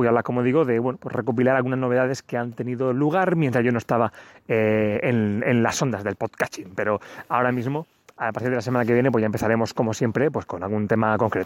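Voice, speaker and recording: A medium-pitched man talking at a very fast clip. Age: 30s. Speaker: podcast host. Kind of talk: solo tech podcast monologue. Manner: casual, with many fillers.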